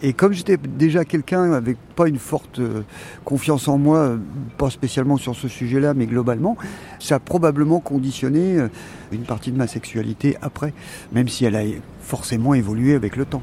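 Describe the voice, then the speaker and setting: With noticeable background noise around him, a man speaks with long, frequent pauses and ordinary pitch variation. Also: medium pitch for a man, moderate pace. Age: 60s. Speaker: retired psychiatric nurse. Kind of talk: personal testimony. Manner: halting.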